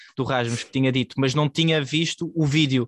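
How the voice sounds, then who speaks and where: With a European Portuguese accent, a man speaks at a moderate pace in a fairly high voice with fairly even intonation, the sound dry and close with no echo. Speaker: podcast host. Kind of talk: casual sports discussion.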